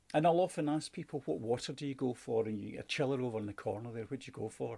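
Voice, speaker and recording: A man with vocal fry at a very fast pace, with ordinary pitch variation. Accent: Scottish. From Scotland. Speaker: sales and customer service trainer. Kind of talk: online training lesson.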